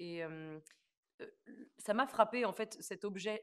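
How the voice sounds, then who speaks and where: A woman's voice with ordinary pitch variation. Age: 20s. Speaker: stage actress. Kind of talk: interview. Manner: halting, many hesitations.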